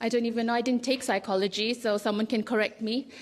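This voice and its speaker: This woman speaks with a Fijian accent. Her pitch is fairly high. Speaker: writer and small publisher. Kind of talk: festival panel talk.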